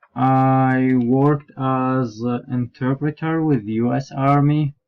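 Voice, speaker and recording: A man with an Iraqi accent, medium-pitched, monotone and flat, at a very slow pace. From southern Iraq. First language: Arabic. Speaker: graduate student and interpreter. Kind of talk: self-introduction. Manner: halting.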